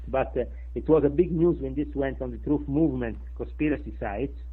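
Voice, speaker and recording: A man speaks at a moderate pace. He has a strong Sicilian accent. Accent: thick Sicilian. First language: Italian. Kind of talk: interview answer. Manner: hesitant, many filler sounds.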